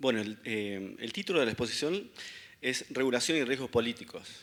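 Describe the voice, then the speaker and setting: The voice is bright and sharp, with lively intonation at a moderate pace. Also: man. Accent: Córdoba. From Argentina, Córdoba. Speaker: economist speaker. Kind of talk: conference talk.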